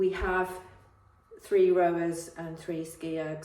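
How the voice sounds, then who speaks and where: Over noticeable background noise and audible room echo, a woman speaks at a moderate pace with a fairly low pitch. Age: 60s. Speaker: fitness vlogger. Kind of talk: casual vlog update. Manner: hesitant, many fillers.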